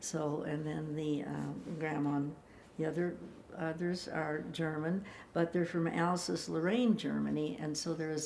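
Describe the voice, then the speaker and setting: A woman speaks at a moderate pace in a very deep, low voice, her intonation fairly even, with audible room echo. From US Midwest, Chicago. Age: 90s. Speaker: elderly interviewee telling life story. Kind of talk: life story interview. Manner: halting, with many fillers.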